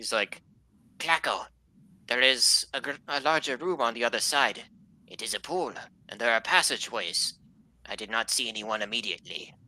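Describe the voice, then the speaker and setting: In a put-on character voice pitched low to middle, the speaker moves at a moderate pace with long, frequent pauses. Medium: actual play. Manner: formal, steady.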